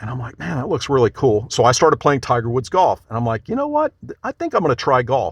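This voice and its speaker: A man speaks very fast in a somewhat breathy, medium-pitched voice with ordinary pitch variation. The sound is dry and close, with no echo. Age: 60s. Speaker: golf league founder. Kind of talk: interview.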